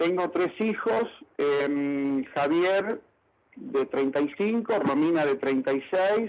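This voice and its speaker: A man speaks at a very slow pace in a fairly high voice. His intonation is lively. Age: 60s. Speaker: factory owner and inventor. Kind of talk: radio interview. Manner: halting, many fillers.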